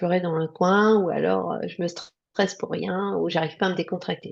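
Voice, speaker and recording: A woman's fairly low voice moves at a moderate pace with ordinary pitch variation. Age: 60s. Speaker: nurse. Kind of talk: interview testimony. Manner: hesitant, many fillers.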